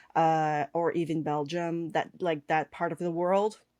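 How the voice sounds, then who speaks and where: Speaking at a fairly slow pace, a woman with a fairly low pitch comes across in a dry, close sound with no echo. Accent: Quebec. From Quebec. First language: French. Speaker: cake artist and online instructor. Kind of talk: podcast interview. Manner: hesitant, many fillers.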